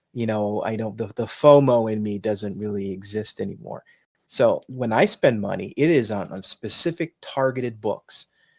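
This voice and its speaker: On a very clean recording with a silent background, a man of medium pitch talks at a moderate pace with ordinary pitch variation. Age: 60s. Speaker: comic book podcast co-host. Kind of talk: casual chat. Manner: halting.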